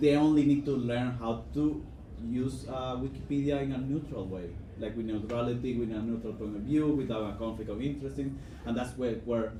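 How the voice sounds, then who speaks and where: In a Spanish accent, the speaker moves at a fairly quick pace with ordinary pitch variation as audible room echo surrounds the voice. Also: man. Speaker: conference panelist, Wikipedia volunteer. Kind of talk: conference panel talk. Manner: halting, many fillers.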